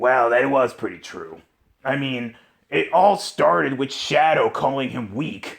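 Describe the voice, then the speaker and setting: A put-on character voice from a man, raspy and medium-pitched, at a fairly slow pace. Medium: solo performance. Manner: pompous, self-justifying.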